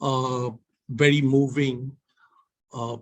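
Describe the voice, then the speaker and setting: Somewhat breathy and in a Bengali accent, a man speaks at a very slow pace and medium pitch with monotone, flat intonation. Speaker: visiting management professor. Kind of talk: memorial tribute.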